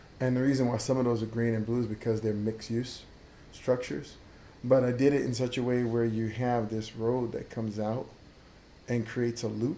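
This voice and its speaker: A man speaks fairly quickly in a dark, mellow tone with monotone, flat intonation. Audible room echo surrounds his voice. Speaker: livestreamer playing a city-building game. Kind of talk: gameplay commentary livestream.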